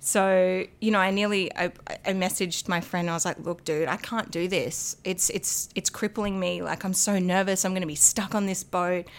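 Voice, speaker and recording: In an Australian accent, a woman speaks at a moderate pace and medium pitch with hardly any pauses. Her intonation is monotone and flat, on a very clean recording with a silent background. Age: 30s. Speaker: podcast guest sharing recovery story. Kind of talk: casual chat.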